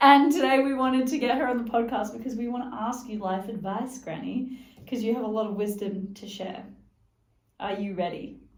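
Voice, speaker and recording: A woman's normal speaking voice, a fairly high pitch with ordinary pitch variation, at a fairly quick pace. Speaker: podcast host. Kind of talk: podcast interview questions.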